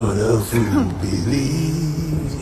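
A man puts on a character voice at a medium pitch. Clear background noise sits behind him. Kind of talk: comic voice-over dub. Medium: fan dub. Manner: threatening, swaggering.

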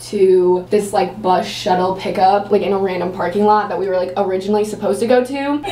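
A woman's very fast, fairly even-toned speech with hardly any pauses, audible room echo and light background noise. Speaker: vlogger. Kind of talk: casual vlog chat. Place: bathroom. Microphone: camera far.

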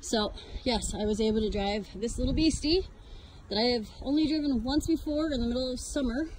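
The sound is dry, with no echo. Noticeable background noise is present. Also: woman. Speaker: homesteader vlogger. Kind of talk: casual vlog chat. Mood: proud, cheerful. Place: farm machine. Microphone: phone near.

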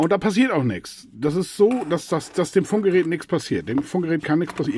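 A moderate pace with a slightly mellow tone and a slightly husky edge. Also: man.

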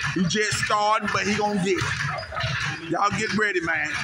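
With music playing in the background, a man talks with ordinary pitch variation. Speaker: amateur boxer vlogger. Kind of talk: casual vlog chat. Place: gym. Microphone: phone near.

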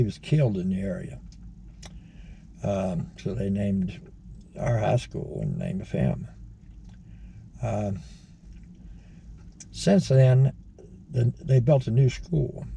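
A man with an American accent speaks at a very slow pace in a fairly low, dark and mellow voice that is somewhat breathy, with very wide pitch swings, long and frequent pauses, and light background noise. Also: dry sound with no echo. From Virginia, Shenandoah Valley; Virginia. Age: 70s. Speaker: retired video blogger. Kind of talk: casual monologue. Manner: halting. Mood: mildly irked, opinionated. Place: car. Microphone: phone near.

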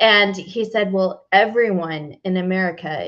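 A woman talks at a fairly slow pace with ordinary pitch variation. The background is quiet. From Texas. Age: 30s. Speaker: fitness coach. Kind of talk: interview. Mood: warm, animated storytelling. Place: home room. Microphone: headset.

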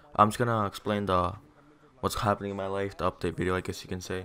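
A low-pitched man's voice, bright and sharp in tone yet clear and smooth

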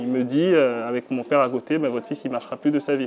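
Faint background music behind a man's fairly high-pitched voice with fairly even intonation. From Benin. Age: 30s. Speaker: digital communication consultant and entrepreneur; interviewee. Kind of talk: interview testimony. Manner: hesitant, many fillers. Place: home room.

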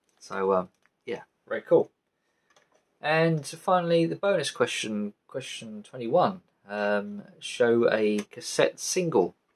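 A man speaks at a slow pace with lively intonation.

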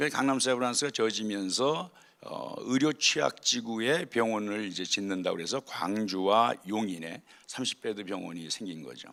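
A man speaks at a moderate pace with lively intonation and a fairly low pitch. His tone is bright and sharp, and his loudness swings widely. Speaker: surgeon, guest speaker at staff chapel. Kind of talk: chapel talk, personal testimony. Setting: hospital chapel service.

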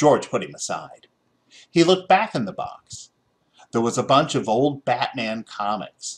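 A man's medium-pitched voice with big pitch swings and a slightly husky edge. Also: fairly slow pace.

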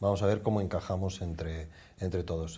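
The voice is somewhat breathy, with a dark, mellow tone. It moves at a fairly quick pace with fairly even intonation. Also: man. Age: old. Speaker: department store fashion manager; TV guest. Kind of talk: fashion advice chat. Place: studio. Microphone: lapel.

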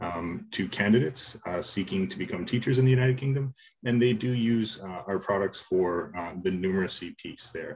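Against a quiet background, a man talks at a moderate pace in a plain, everyday voice with ordinary pitch variation. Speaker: presenter. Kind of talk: conference presentation. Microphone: video call.

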